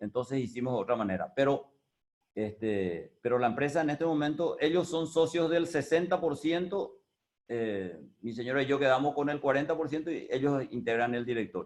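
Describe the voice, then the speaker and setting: The man has an unremarkable speaking voice, pitched fairly high. He keeps a moderate pace and lively intonation. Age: 60s. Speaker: business owner. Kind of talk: talk on experience. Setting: video call.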